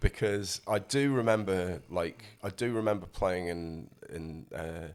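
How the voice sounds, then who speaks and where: A man talks with a South Yorkshire accent at a very deep, low pitch. His pace is fairly slow, and his loudness swings widely. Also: ordinary pitch variation. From northern England, Rotherham, South Yorkshire. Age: 50s. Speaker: musician. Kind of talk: casual interview chat. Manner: halting, many fillers.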